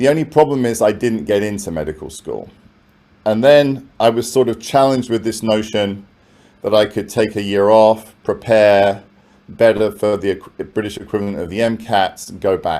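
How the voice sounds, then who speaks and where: Speaking at a moderate pace with a London accent, a man uses a fairly low, dark, mellow voice. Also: ordinary pitch variation. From London, England. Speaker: professor. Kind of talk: keynote talk. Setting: conference with audience. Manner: conversational.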